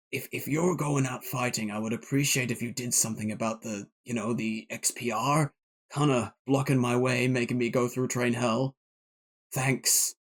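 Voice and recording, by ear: Putting on a raspy character voice at medium pitch, a man speaks at a moderate pace.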